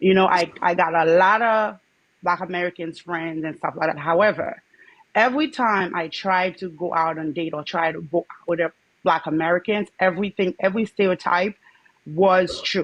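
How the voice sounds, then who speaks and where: A woman speaks at a moderate pace in a fairly low voice, with ordinary pitch variation and a dry, close sound that has no echo. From Haiti. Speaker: livestream guest sharing dating experiences. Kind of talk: personal testimony in casual chat. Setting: livestream call-in.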